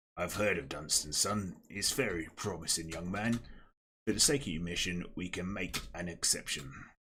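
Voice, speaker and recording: Putting on a character voice, a man talks at a moderate pace in a raspy, very deep, low pitch. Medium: role play.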